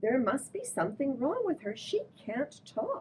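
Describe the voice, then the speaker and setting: A raised, projected, put-on character voice, female-sounding and high-pitched for a woman. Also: moderate pace. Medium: read story.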